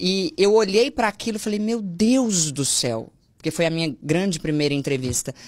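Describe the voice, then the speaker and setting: The woman's pitch swings very widely, and the background stays quiet. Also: moderate pace. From Minas Gerais, Brazil. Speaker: Portuguese language teacher. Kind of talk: casual chat. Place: studio. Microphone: studio mic.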